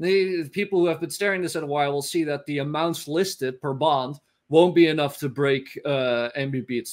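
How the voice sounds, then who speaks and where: In a Dutch accent, a man speaks at a moderate pace with a fairly high pitch and ordinary pitch variation. The background is quiet. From Netherlands. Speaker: finance analyst. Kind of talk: interview.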